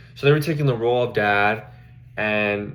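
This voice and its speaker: A man speaks with a Spanish accent. His pitch is fairly low. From Mexico. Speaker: social work student. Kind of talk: class presentation. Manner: halting, with fillers.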